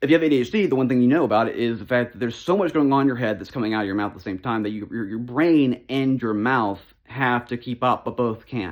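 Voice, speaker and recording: On a very clean recording with a silent background, a man with a medium pitch speaks at a very fast pace. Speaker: youtuber. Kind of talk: casual channel update monologue. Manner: sometimes slurred, runs off the rails.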